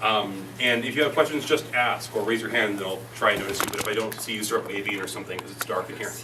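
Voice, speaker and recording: A man with an American accent, medium pitch, ordinary pitch variation and a very fast pace, amid noticeable background noise and audible room echo. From Montana. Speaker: tech startup speaker. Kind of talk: presentation. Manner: animated.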